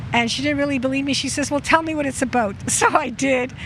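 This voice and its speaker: A woman talks at a fairly quick pace, her high voice showing ordinary pitch variation against noticeable background noise. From Poland, moved to Montreal at six. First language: Polish. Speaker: local resident. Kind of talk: casual personal storytelling. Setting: outdoors in front of a pastry shop.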